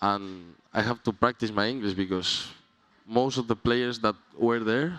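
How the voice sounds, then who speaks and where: A man speaks at a fairly slow pace with a Spanish accent, his pitch medium. The sound is dry and close with no echo, and his pitch varies in an ordinary way. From Spain, Mallorca. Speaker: college tennis player. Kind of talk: radio interview. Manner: halting.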